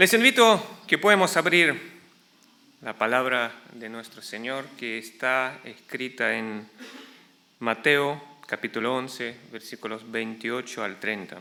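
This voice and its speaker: A man at a medium pitch speaks at a very slow pace with long, frequent pauses. His intonation is lively and his loudness swings widely. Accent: Argentine. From Ukraine, then Argentina from childhood/youth. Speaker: pastor. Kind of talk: sermon. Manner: halting, with fillers.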